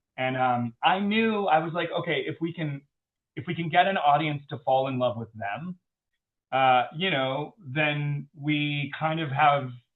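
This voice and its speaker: With an American accent, a man talks at a fairly slow pace. His pitch is fairly high and varies an ordinary amount. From US South. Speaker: film director. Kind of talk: interview. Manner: hesitant, many fillers.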